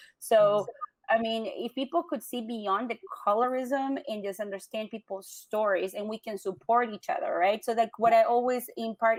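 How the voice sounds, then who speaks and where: In a dry, close sound with no echo, a woman speaks at a moderate pace with a Latin American accent and ordinary pitch variation. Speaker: business owner. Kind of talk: interview.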